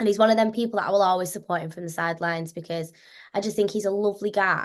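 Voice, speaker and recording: A woman with a slight Scouse accent talks at a very fast pace. Her loudness swings widely, over a quiet background. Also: medium pitch for a woman. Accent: slight Scouse twang. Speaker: actress. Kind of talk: interview. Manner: animated.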